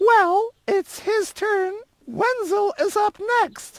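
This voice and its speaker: Squeaky and extremely high-pitched, a woman's put-on character voice moves at a very slow pace in a dry, close sound with no echo. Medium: video game. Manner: sniffy, clears throat.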